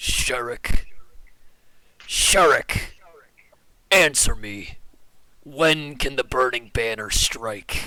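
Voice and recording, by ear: A man in a put-on character voice, raspy and fairly high-pitched, speaks at a very slow pace with long, frequent pauses.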